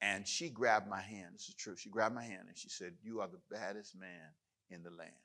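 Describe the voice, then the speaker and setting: A man speaks at a fairly quick pace with a fairly low pitch and a bright, sharp tone. His loudness swings widely while his pitch varies in an ordinary way. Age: 60s. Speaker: pastor. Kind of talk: sermon. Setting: church.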